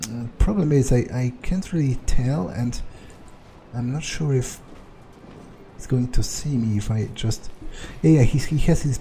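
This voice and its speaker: A man with a dark, mellow tone speaks at medium pitch and a moderate pace, somewhat breathy, with ordinary pitch variation. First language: not English. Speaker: let's play gamer. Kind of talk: gameplay commentary. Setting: recording at computer with microphone. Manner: halting, many fillers.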